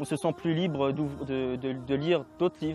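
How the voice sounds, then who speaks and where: Noticeable background noise under speech with ordinary pitch variation. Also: man. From France. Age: 20s. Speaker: convert to Islam. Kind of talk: interview testimony. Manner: halting.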